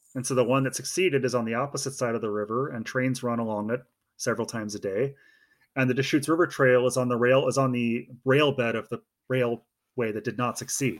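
A man with an American accent speaks very fast at a medium pitch, his intonation fairly even, on a very clean recording with a silent background. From Oregon. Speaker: hiking guidebook author. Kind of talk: casual interview.

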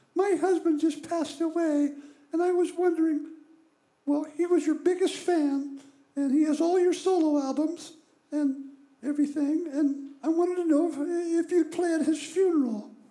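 The speaker uses a put-on character voice at a high pitch. The pace is moderate, broken by long, frequent pauses.

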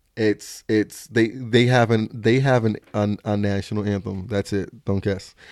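In a very clean recording with a silent background and a dry, close sound with no echo, a man with a fairly low pitch speaks in a monotone, flat intonation at a fairly slow pace with hardly any pauses. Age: 20s. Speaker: social media comedian and content creator. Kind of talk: casual chat.

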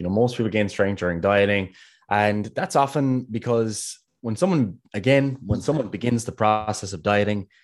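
In a quiet background, a man speaks with a Kerry accent. His pitch is fairly low, with ordinary variation. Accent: Kerry Irish. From Ireland, Kerry. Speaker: podcast co-host, fitness coach. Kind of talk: casual podcast discussion. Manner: fast talker.

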